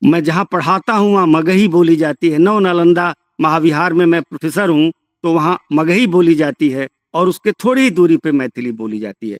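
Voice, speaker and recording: A man with a high-pitched voice and lively intonation, recorded with a dry, close sound and no echo. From Bhojpuri-speaking region, eastern Uttar Pradesh/western Bihar. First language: Bhojpuri (speaking Hindi). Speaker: professor. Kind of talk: lecture. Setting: remote lecture from a village.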